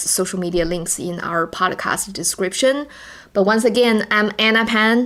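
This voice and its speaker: A woman at medium pitch, in a Chinese accent, with fairly even intonation. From China. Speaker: podcast co-host. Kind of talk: casual podcast chat. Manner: halting, repeats words.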